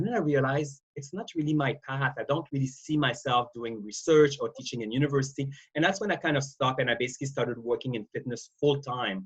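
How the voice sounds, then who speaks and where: A man talks at a very fast pace with a slight Quebec accent. His medium-pitched voice is somewhat breathy, with ordinary pitch variation. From Quebec, Canada. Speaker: wellness industry expert. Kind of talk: interview. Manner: halting, many repetitions and fillers.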